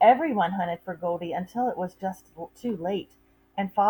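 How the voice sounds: Ordinary pitch variation within a natural reading voice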